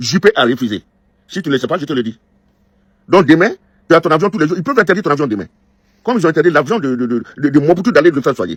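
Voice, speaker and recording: A man speaks very fast in a fairly high pitch with lively intonation. He takes long, frequent pauses, and the sound is dry and close with no echo. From northern Côte d'Ivoire. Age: 60s. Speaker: diaspora political critic. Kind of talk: angry video message. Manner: halting, repeats words.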